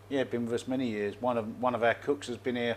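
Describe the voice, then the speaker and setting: The speaker has a London accent. The pace is fairly quick. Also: man. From London and Essex, England. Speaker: expat bar owner. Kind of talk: casual interview chat. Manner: halting, repetitive.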